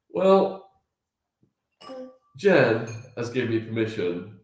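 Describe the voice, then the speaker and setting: A man's voice with audible room echo. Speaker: family vlogger. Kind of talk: casual chat.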